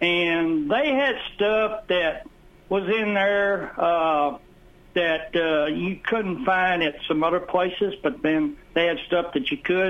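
With a Southern US accent, a man speaks very slowly in a high pitch, keeping very even loudness and ordinary pitch variation. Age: 60s. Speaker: radio caller. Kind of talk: call-in reminiscing. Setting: phone call. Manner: halting.

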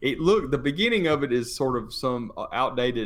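A man talks at a moderate pace. He has a slight Tennessee accent. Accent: Tennessee Southern US, slight. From Tennessee, US. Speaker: businessman. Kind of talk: casual podcast interview. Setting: studio.

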